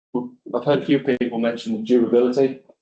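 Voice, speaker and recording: A man with a North East England accent, medium pitch and monotone, flat intonation. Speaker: architect. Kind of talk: conference presentation. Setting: conference venue with audience and online viewers.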